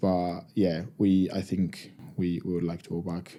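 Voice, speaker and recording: A man with an Argentine accent talks in a very deep, low pitch with a dark, mellow tone. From Argentina. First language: Spanish. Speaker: professional rugby player. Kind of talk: podcast interview.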